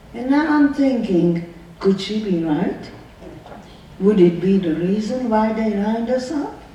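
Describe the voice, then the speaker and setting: At a fairly slow pace and with lively intonation, the voice carries audible room echo and noticeable background noise. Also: woman. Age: 90s. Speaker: Holocaust survivor. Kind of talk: testimony. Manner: emotional, repetitive questioning.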